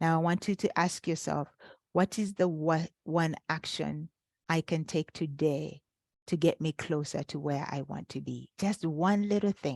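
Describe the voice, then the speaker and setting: A woman's very deep, low pitch with fairly even intonation, in a dry, close sound with no echo and a quiet background. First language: not English. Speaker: life coach. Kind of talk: webinar workshop. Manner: halting with fillers.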